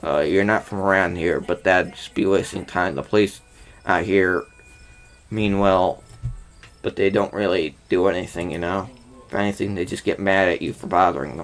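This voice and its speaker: A raspy, very deep, low put-on character voice from a man, moderate in pace with fairly even intonation, over music in the background. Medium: game stream.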